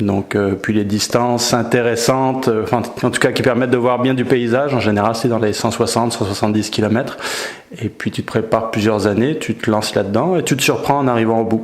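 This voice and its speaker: Noticeable background noise sits behind a man speaking at a very fast pace. His pitch is medium and his intonation fairly even. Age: 40s. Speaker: ultra-trail runner. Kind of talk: interview. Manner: hesitant with filler words.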